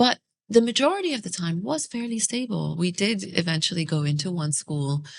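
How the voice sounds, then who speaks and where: A woman talks at a fairly quick pace in a medium pitch. Her pitch swings very widely. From UAE (early years Iraq, Australia). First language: Arabic. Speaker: podcast host. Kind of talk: casual interview conversation. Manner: hesitant, many fillers.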